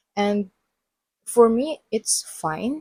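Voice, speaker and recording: A woman speaks at a very slow pace in a somewhat breathy voice, with ordinary pitch variation. The sound is dry and close, with no echo. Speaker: podcast host. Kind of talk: casual monologue. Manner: animated.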